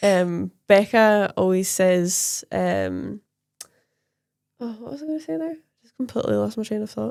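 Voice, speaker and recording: A woman speaks at a fairly slow pace, with long and frequent pauses. Her loudness swings widely. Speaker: nail technician and podcast co-host. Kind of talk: casual chat.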